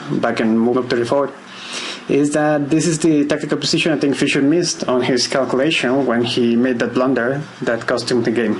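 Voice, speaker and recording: A man with a non-native accent at a fairly quick pace, medium pitch and ordinary pitch variation, with audible room echo and noticeable background noise. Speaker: chess teacher. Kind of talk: tutorial. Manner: hesitant, with filler words.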